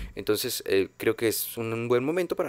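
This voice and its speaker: A man at a fairly slow pace, in a dry sound with no echo. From Mexico. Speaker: film podcast host. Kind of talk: casual monologue. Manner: halting, many fillers. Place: home room. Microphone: studio mic.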